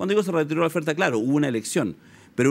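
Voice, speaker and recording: The man's voice sits at a fairly high pitch. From Chile. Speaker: sociologist; guest. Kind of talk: political analysis interview. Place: studio.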